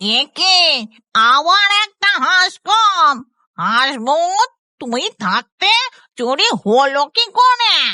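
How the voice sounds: A cartoonish character voice, female-sounding and extremely high, moves at a very slow pace with very wide pitch swings.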